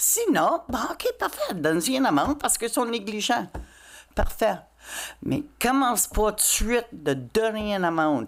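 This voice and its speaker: This woman's fairly high voice carries vocal fry and swings very widely in pitch while her loudness stays very even. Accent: English. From Quebec (Châteauguay). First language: English (speaking French). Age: 60s. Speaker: citizen at council question period. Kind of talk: public comment at council meeting.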